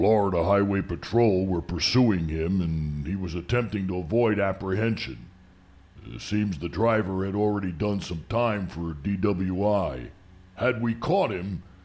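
A man puts on a character voice, gravelly and very deep in pitch. He talks at a fairly slow pace. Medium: audio drama. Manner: formal, polite, addresses him as sir.

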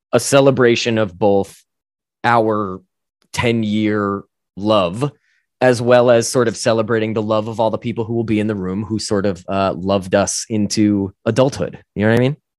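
A plain, everyday voice speaks with an American accent at a moderate pace. The intonation is fairly even, and the background is quiet. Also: man, fairly low pitch for a man. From US Northeast, northern New Jersey. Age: 30s. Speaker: actor and musician. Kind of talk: casual interview.

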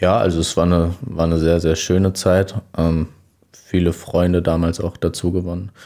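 A man speaks in a very deep, low pitch and a dark, mellow tone, with very even loudness and monotone, flat intonation. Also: moderate pace. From Hesse, Germany (Riedstadt, Groß-Gerau district). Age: 20s. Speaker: former youth footballer. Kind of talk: casual interview.

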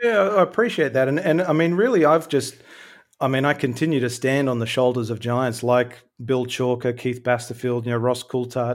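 In a very clean recording with a silent background, a man with an Australian accent speaks at a moderate pace, his medium pitch showing ordinary variation. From Australia, Sydney. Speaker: filmmaker and UFO researcher. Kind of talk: casual chat.

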